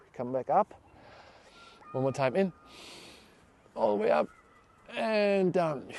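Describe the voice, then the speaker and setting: Over noticeable background noise, the voice moves in very wide pitch swings at a fairly slow pace, with long, frequent pauses and a dry, close sound with no echo. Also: man, fairly high pitch for a man. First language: German. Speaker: fascia trainer. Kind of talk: guided exercise class. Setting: class with one participant. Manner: halting.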